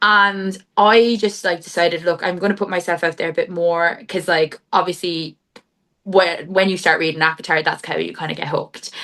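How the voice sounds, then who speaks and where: A woman speaks in a Cork accent at a fairly low pitch. Her pace is moderate and her intonation fairly even. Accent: Irish (Cork), moderately strong. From Ireland, Cork. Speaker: book content creator and accountant. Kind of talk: casual interview chat. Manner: chatty, filler-heavy (like, um).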